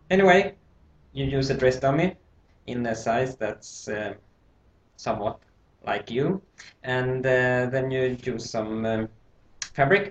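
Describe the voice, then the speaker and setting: With a non-native accent, a man speaks very slowly at a medium pitch, leaving long, frequent pauses. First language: not English. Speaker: sewing instructor. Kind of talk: tutorial. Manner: halting.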